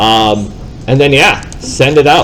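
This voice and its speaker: A loud man with lively intonation, over noticeable background noise. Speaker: real estate software trainer. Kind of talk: live training class.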